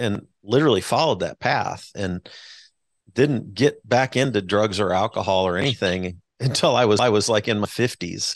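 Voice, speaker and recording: A man speaks at a moderate pace in an ordinary speaking voice, fairly low in pitch with ordinary pitch variation. The sound is dry and close, with no echo. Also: quiet background. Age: 60s. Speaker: podcast host, former pastor. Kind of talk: interview. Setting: podcast.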